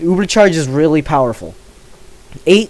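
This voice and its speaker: There is noticeable background noise behind the speaker. A man talks with a fairly high pitch and ordinary pitch variation. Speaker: gaming youtuber. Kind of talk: casual commentary while ranking items. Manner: hesitant, many filler words.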